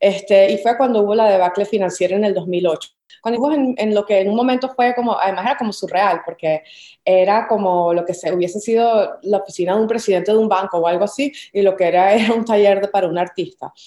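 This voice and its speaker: In a Caracas accent, the speaker moves at a fairly quick pace with a dark, mellow tone and ordinary pitch variation. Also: woman, medium pitch for a woman. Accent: Venezuelan Spanish (Caracas). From Venezuela, Caracas. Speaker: visual artist. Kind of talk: interview conversation.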